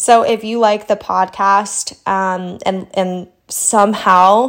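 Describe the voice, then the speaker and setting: A woman of medium pitch is heard on a very clean recording with a silent background. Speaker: money coach, podcast host. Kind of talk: casual chat. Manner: animated.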